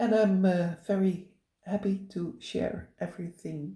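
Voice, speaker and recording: With a Dutch accent, a woman speaks at medium pitch in a dark, mellow tone with vocal fry. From Netherlands. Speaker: cross-stitch vlogger. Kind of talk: casual chat. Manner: halting, many fillers.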